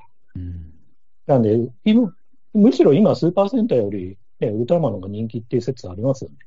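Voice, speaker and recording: A man's medium-pitched voice at a very fast pace, with very wide pitch swings, big swings in loudness, and music in the background. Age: 40s. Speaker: podcast guest, film fan. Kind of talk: casual chat.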